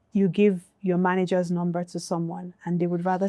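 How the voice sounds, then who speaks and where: In a dry, close sound with no echo, a woman speaks at a fairly quick pace with a dark, mellow tone and fairly low pitch. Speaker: music industry executive. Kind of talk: panel discussion. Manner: soft-spoken, not loud.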